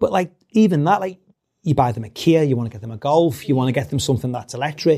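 A man with a Liverpool accent, fairly high in pitch, somewhat breathy, with a dark, mellow tone, lively intonation and a very fast pace. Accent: Scouse (Liverpool). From Liverpool, England. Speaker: company CEO. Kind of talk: interview conversation.

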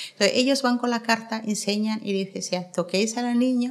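Her intonation fairly even, a woman speaks in an ordinary speaking voice at a fairly high pitch. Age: 50s. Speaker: activist against female genital mutilation.

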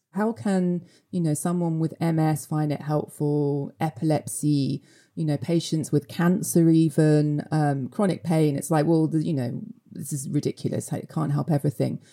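A woman talks at a moderate pace with a very deep, low pitch. Her intonation stays fairly even. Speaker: medical cannabis writer. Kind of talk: interview clip. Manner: hesitant with many fillers.

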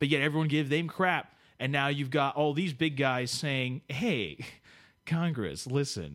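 In a very clean recording with a silent background, a man with an American accent uses an ordinary speaking voice, fairly high in pitch, with ordinary pitch variation at a fairly slow pace. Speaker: podcast co-host. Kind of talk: casual chat. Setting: studio.

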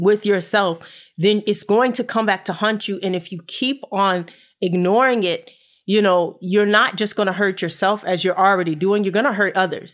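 A woman speaks at a medium pitch and moderate pace with fairly even intonation, an unremarkable speaking voice. The recording is very clean, with a silent background. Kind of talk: casual talk, live-streamed conversation. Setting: Facebook Live video stream.

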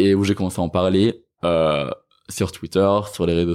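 At a fairly quick pace, a man speaks in a very deep, low voice with a dark, mellow tone, on a very clean recording with a silent background. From France, Rennes area. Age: 20s. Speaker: sociology student and anti-racism activist. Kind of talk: interview.

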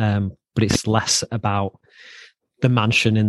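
Monotone, flat intonation in a dry, close sound with no echo. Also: man. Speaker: podcast host. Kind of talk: casual interview.

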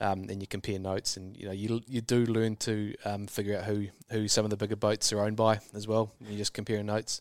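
Very fast and with hardly any pauses, a man with a New Zealand accent speaks in a fairly low, flat, monotone voice over a very clean recording with a silent background. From New Zealand, rural. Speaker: super yacht crew member. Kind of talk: interview. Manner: halting, many fillers.

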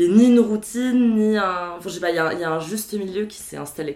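A woman speaks at a moderate pace with ordinary pitch variation. The room echo is audible. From Paris, France. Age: 20s. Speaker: HR worker. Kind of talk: casual chat.

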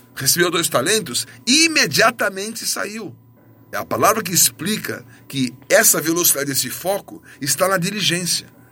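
Over noticeable background noise, a man raises and projects his high voice, speaking at a moderate pace with lively intonation. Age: 50s. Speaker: pastor. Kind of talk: sermon.

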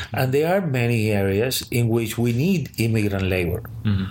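A man speaks in a somewhat breathy voice with a Spanish accent. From Cuba. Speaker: sociology professor. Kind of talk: interview.

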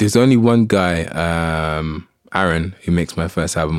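Very deep, low male voice with lively intonation. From Saint Lucia. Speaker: music artist. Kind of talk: casual interview. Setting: studio.

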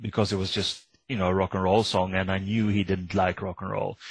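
The voice is somewhat breathy, with fairly even intonation. The background is quiet. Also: man. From Sweden. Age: 50s. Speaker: author. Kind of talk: interview.

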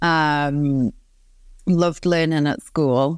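On a very clean recording with a silent background and a dry, close sound with no echo, a woman speaks at a very deep, low pitch. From northeast England, Newcastle upon Tyne. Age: 30s. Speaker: positive psychologist and business coach. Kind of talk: podcast interview. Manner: animated.

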